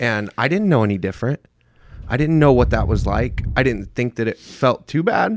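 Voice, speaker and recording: A man with an American accent speaks at medium pitch and a moderate pace. His intonation is lively, and the sound is dry and close with no echo. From US Midwest, small-town Indiana. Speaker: person in addiction recovery. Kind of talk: casual interview.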